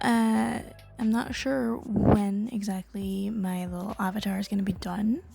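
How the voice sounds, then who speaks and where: Somewhat breathy and dark, mellow in tone, a woman talks at medium pitch with ordinary pitch variation. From Caribbean. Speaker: digital artist and YouTuber. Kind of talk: casual rant monologue. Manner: hesitant, many filler ums.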